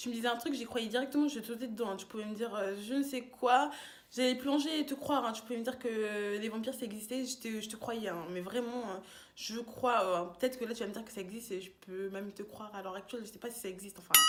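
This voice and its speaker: A woman speaks at a very fast pace and fairly high pitch, her tone animated. Her loudness swings widely. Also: ordinary pitch variation. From France, Tours. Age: 20s. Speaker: YouTuber, student. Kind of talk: casual vlog monologue.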